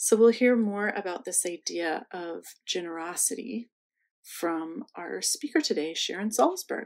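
With lively intonation, a woman uses an unremarkable speaking voice at a medium pitch. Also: fairly slow pace, big swings in loudness, quiet background. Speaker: museum host. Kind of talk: welcome and introductions. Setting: online video session.

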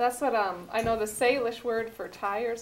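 A woman with an American accent has a plain, everyday voice at a fairly high pitch. She speaks at a moderate pace with fairly even intonation. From US Northwest (Montana reservation). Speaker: cooking show host. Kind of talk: cooking demonstration. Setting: studio kitchen.

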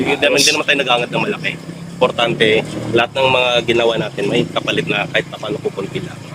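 Speaking very fast at a medium pitch, a man is heard through noticeable background noise. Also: ordinary pitch variation. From Visayas, Philippines. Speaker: vlogger and comedian. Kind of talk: casual chat. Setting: home studio.

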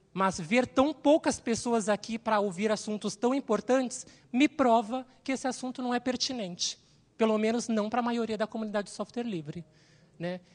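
A woman's somewhat breathy, fairly high voice at a moderate pace, with ordinary pitch variation and big swings in loudness, over a quiet background. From Brazil, São Paulo. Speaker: systems analyst, panelist. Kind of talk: panel talk. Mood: earnest, somewhat sorrowful. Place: hall. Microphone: handheld.

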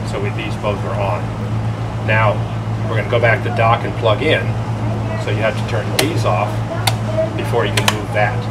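A man talks at a fairly quick pace. Loud noise fills the background. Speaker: boat systems instructor. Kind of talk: tutorial. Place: boat. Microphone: camera far.

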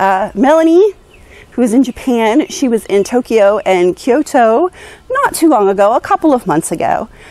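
In a dry sound with no echo, a woman speaks at a moderate pace in a high pitch with very wide pitch swings. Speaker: vlogger. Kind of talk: casual vlog chat. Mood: cheerful, playful. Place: garden. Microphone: lapel.

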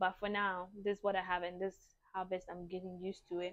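A woman speaks in a monotone, flat intonation over a quiet background. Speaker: beauty vlogger. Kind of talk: casual vlog chat. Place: home room. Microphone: lapel.

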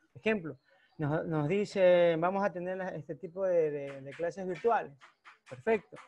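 The speaker is a man with a high pitch and ordinary pitch variation. He goes at a fairly slow pace, with big swings in loudness. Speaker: math teacher. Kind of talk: spontaneous comment in online class. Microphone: video call.

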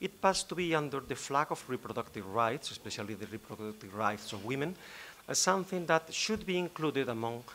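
Light background noise sits under a man's very fast speech. His tone is bright and sharp. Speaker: law professor panelist. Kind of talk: conference talk. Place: hall. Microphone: podium.

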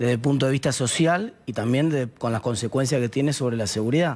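With a Rioplatense accent, a man talks at a fairly quick pace and a fairly high pitch. His pitch varies in an ordinary way, and the background is quiet. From Argentina, La Plata; Argentina. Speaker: political commentator; TV guest. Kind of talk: interview. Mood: serious, concerned. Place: studio. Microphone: headset.

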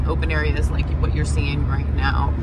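The audio carries loud background noise and a dry sound with no echo. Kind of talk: casual narrated drive tour. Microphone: phone near.

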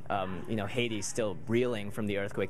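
A man's fairly low voice at a very fast pace, with fairly even intonation and light background noise. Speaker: interviewee. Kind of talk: interview answer. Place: bar. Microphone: handheld.

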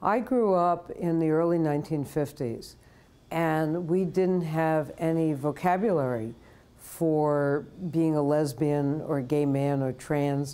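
Very deep and low in pitch, a woman speaks with a New York accent at a very slow pace. Her tone is dark and mellow, and her loudness stays very even. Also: ordinary pitch variation. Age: 70s. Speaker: retired professor and activist. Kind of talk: interview. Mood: reflective, personal memories. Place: home room. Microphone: lapel.

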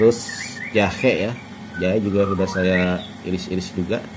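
Noticeable background noise surrounds a man with a very deep, low pitch. He speaks at a moderate pace in a flat monotone. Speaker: home cook vlogger. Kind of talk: cooking tutorial. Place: home room. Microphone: phone near.

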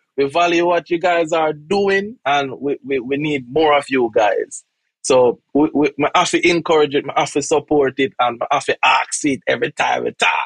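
A man with a Jamaican accent at a fairly high pitch and moderate pace, with ordinary pitch variation, very even loudness, a dry sound with no echo and a quiet background. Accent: Jamaican English with patois. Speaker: podcast host. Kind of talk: interview. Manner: repeats words, halting. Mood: warm, encouraging. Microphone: video call.

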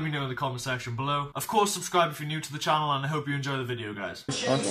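A man keeps fairly even intonation while speaking at a very fast pace. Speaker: fitness vlogger. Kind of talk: casual vlog chat. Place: home room. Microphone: webcam.

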